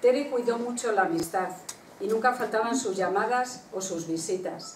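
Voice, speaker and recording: Over light background noise and audible room echo, a woman talks at a moderate pace with ordinary pitch variation. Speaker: book presenter. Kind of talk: reading aloud a written tribute. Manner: formal, measured. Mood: warm, commemorative. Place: hall. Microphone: podium.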